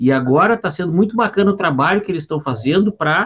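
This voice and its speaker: A man speaks in a high pitch. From southern Brazil, Porto Alegre. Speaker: business consultant, podcast co-host. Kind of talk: casual chat. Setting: live stream.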